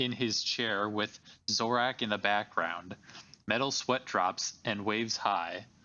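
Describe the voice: The intonation holds fairly even. It's plain reading aloud.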